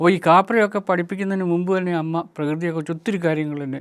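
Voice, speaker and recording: In a very clean recording with a silent background, a man speaks at a high pitch with ordinary pitch variation. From Kerala, Meenachil river area. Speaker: retired chemistry professor, nature NGO president. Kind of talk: reflective monologue talk.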